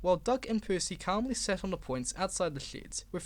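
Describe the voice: The text is read aloud plainly, with lively intonation.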